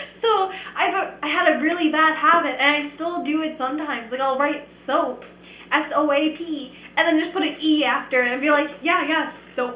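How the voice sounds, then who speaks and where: A woman with an American accent speaks at a moderate pace in a raised, projected, animated voice with a high pitch. Room echo is audible and background noise is noticeable. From New York. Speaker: vlogger. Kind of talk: casual vlog monologue.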